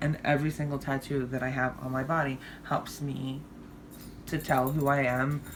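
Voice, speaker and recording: A woman's very deep, low pitch comes through noticeable background noise. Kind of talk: personal vlog monologue. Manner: stumbles over words, slurs; hesitant, many fillers.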